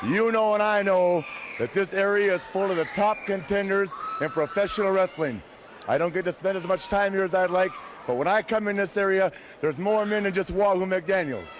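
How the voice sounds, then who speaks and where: Over noticeable background noise, a man talks fairly quickly in a high pitch, with ordinary pitch variation and very even loudness. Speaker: professional wrestler. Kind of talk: wrestling promo.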